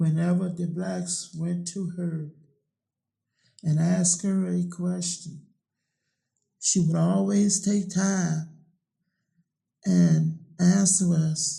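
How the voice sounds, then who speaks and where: In a Virginia accent, a man speaks with a dark, mellow tone at a high pitch. His delivery is very slow and monotone, with long, frequent pauses. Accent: US South, Virginia. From Virginia, Middlesex County. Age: 60s. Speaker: oral history interviewee. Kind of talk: oral history interview.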